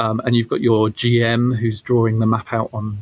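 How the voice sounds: A man speaks at a moderate pace with fairly low pitch. His intonation is monotone and flat.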